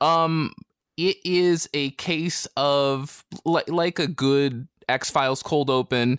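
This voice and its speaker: A man with an American accent speaks with fairly even intonation in a dry, close sound with no echo. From US (not British). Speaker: podcast guest, comics reviewer. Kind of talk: casual chat.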